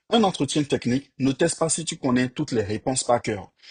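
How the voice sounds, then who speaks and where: A man speaks with lively intonation and a somewhat breathy voice, recorded with a dry, close sound and no echo. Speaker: software engineer and career coach YouTuber. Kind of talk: tutorial-style advice talk to camera. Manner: casual with fillers, hesitations.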